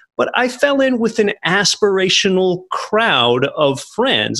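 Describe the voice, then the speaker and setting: This voice has a bright, sharp tone with an American accent. Its pitch swings very widely. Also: man. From Pennsylvania. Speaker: real estate investor and podcast host. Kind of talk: interview.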